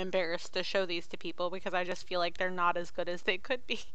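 A woman talks at a very fast clip in a bright, sharp tone and medium pitch, with audible room echo around her. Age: 30s. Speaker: podcast co-host. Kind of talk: casual chat.

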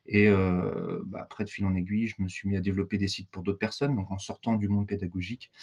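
The pace is fairly quick. A man speaks with a fairly low pitch. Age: 40s. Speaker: digital training consultant. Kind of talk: casual interview. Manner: hesitant, many fillers.

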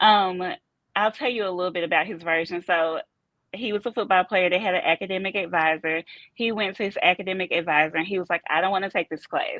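A woman with a Southern US accent talks very fast at a medium pitch, her intonation fairly even. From US South, Memphis, Tennessee. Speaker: football coach's wife. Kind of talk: casual interview. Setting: on location, Los Angeles.

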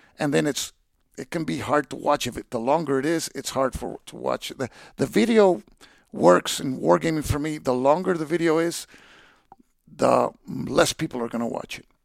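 A fairly high-pitched male voice with vocal fry and big swings in loudness, in a dry, close sound with no echo. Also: lively intonation, moderate pace. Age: 50s. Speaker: wargame video reviewer and federal prosecutor. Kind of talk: casual interview. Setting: in person at a gaming convention.

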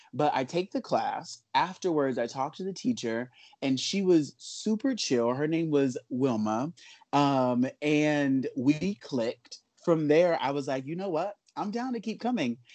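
A man with a plain, everyday voice and an American accent, fairly high in pitch, lively in intonation, fairly slow in pace, against a quiet background. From Los Angeles, South Central. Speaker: dancer and artist. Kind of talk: interview, casual chat.

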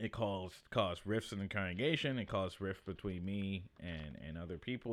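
With an unremarkable speaking voice, a man talks at a moderate pace and a fairly low pitch, with ordinary pitch variation and hardly any pauses. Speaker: podcast host and comedian. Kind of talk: casual monologue.

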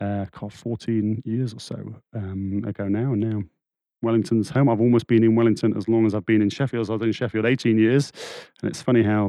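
Fairly quick and fairly even in intonation, a man speaks with an English accent at a fairly low pitch. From England. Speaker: churchgoer sharing faith story. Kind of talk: casual interview. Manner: halting.

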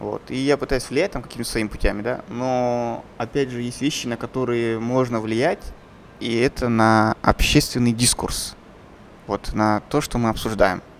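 The man's pitch is medium and shifts in a typical way. He keeps a moderate tempo. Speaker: podcast host, filmmaker. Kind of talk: casual chat.

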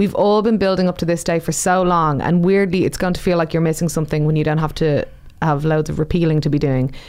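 At a very fast pace, a woman with an Irish accent speaks in a fairly low pitch, keeping fairly even intonation and very even loudness. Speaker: podcast co-host, campaigner. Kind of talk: scripted podcast segments.

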